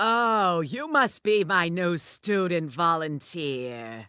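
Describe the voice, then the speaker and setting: A woman uses a cartoonish character voice at a fairly low pitch, speaking very slowly with very wide pitch swings. The recording is very clean, with a silent background. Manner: blunt, insulting.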